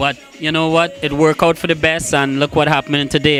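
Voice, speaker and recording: Over music in the background, a man with a Trinidadian accent talks at a very fast pace with fairly even intonation. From Trinidad and Tobago (San Juan). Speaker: soca and reggae singer. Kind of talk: interview.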